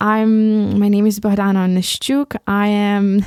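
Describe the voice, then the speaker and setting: On a very clean recording with a silent background, a woman speaks at a very slow pace. Her pitch sits in the medium range. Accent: Ukrainian. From Ukraine. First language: Ukrainian. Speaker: podcast host. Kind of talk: solo podcast monologue. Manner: halting, many repetitions.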